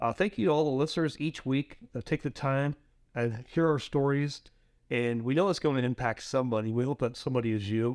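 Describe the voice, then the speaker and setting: Here is an unremarkable speaking voice from a man at medium pitch, moving at a fairly quick pace with ordinary pitch variation. The sound is dry and close with no echo, in a very clean recording with a silent background. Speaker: podcast host. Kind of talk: podcast intro.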